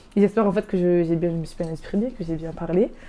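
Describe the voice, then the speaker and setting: A woman of medium pitch speaks in a dark, mellow tone with monotone, flat intonation. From Nîmes, southern France. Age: 20s. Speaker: apprenticeship graduate sharing her story. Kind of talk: interview testimony. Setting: web TV studio interview. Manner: fast; hesitant, many fillers.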